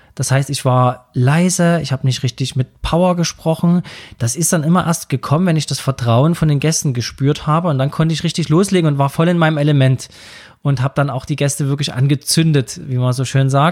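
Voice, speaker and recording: This is a very clean recording with a silent background. A somewhat breathy man talks at a fairly quick pace with fairly even intonation. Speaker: podcast host and wedding speaker. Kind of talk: solo podcast monologue.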